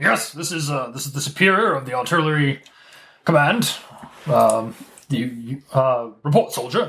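A man puts on a gruff character voice. He speaks at a fairly high pitch and a fairly slow pace. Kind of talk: curt, commanding.

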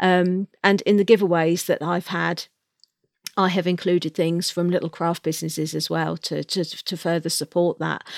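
Fairly even intonation and a moderate pace come through in a very clean recording with a silent background. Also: woman. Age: 40s. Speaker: novelist. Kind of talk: interview. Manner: hesitant with fillers.

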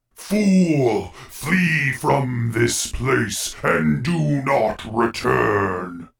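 Putting on a character voice, a man speaks at a very slow pace, resonant and at a medium pitch, with very wide pitch swings. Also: hardly any pauses. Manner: threatening, commanding.

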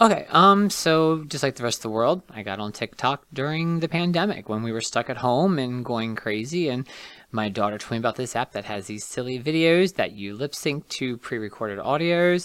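A man with an American accent speaks in an unremarkable speaking voice at a medium pitch. His lively intonation moves at a moderate pace with hardly any pauses, on a very clean recording with a silent background. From West Virginia, Martinsburg. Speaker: hairstylist and TikTok creator. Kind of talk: casual interview.

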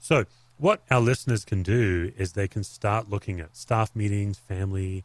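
A man with an Australian accent speaks at a fairly slow pace in a fairly low voice with ordinary pitch variation, on a very clean recording with a silent background and a dry, close sound with no echo. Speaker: pastor and author. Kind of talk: interview conversation.

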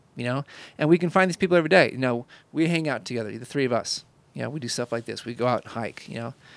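The recording is very clean, with a silent background and a dry, close sound with no echo. Speech comes at a very fast pace with big swings in loudness and ordinary pitch variation. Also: man, medium pitch for a man. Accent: American. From Indiana, US Midwest. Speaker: podcast host, photographer. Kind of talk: casual chat.

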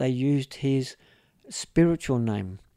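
With an Australian accent, a man speaks in a dark, mellow tone with lively intonation. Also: dry, close sound with no echo. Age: 60s. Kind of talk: interview storytelling. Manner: halting, many fillers.

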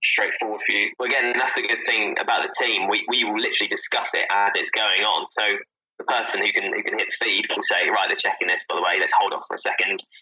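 A very fast man's voice in a southern English accent. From Southampton, southern England. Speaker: stadium PA announcer and radio journalist. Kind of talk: casual chat.

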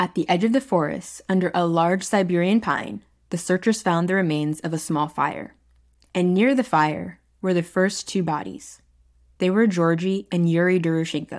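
Over a very clean recording with a silent background, a woman uses an ordinary speaking voice, fairly low in pitch, with ordinary pitch variation, very even loudness and a moderate pace. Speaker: podcast host. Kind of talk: true-crime documentary narration. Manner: measured, storytelling tone; conversational, addresses listeners directly.

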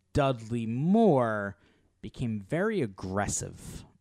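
A man is speaking. His pitch swings very widely. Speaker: movie podcast co-host. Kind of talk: casual chat. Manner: laughs often.

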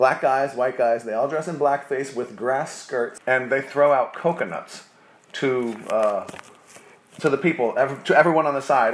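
Noticeable background noise accompanies a man speaking at medium pitch with an American accent. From New Jersey. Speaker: bar owner. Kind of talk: casual interview.

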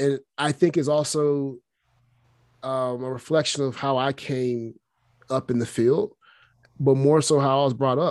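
A man speaks with a Southern US accent at a medium pitch. The background is quiet. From Alabama. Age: 30s. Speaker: strength and conditioning coach. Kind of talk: interview. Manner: casual, many fillers.

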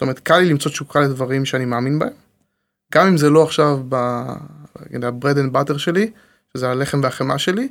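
A man speaks at a fairly quick pace. His pitch is fairly high, with ordinary pitch variation. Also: very clean recording, silent background. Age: 30s. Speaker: tech entrepreneur. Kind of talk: casual interview.

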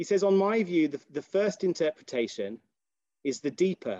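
A man's British accent and dark, mellow tone at a moderate pace, dry and close with no echo. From Britain. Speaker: rabbi and philosophy lecturer. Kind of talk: lecture. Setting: video call. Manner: halting.

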